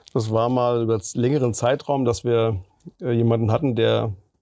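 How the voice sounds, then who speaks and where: Dark and mellow in tone, a man talks at a medium pitch. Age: 40s. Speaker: municipal green spaces manager. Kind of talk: interview.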